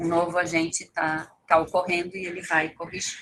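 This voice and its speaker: A woman with an ordinary speaking voice, fairly low in pitch, at a moderate pace. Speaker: toxicology information center staff trainer. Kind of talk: training lecture.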